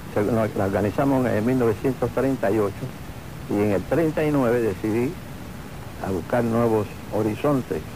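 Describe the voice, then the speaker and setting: A man speaks at a medium pitch. Noticeable background noise runs behind him. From Cuba (Havana). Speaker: retired bandleader and pianist. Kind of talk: interview.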